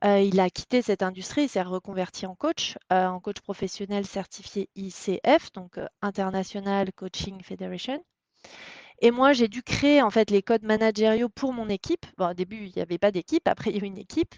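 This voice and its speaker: A woman with an unremarkable speaking voice, big swings in loudness, ordinary pitch variation and a moderate pace, in a dry, close sound with no echo over a quiet background. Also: medium pitch for a woman. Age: 30s. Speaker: startup co-founder. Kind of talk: interview.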